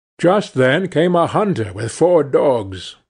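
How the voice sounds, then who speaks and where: A man's calm, somewhat breathy voice at a fairly slow pace, with very wide pitch swings against a quiet background. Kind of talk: fairy-tale narration. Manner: calm, storyteller pacing with character voices.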